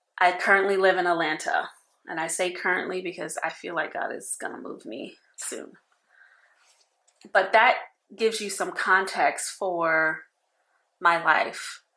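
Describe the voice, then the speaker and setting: Bright and sharp in tone, a voice with an American accent moves at a fairly slow pace with fairly even intonation, big swings in loudness, and long, frequent pauses. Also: woman, medium pitch for a woman. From New York. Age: 40s. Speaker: personal finance vlogger. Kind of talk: casual talk to camera.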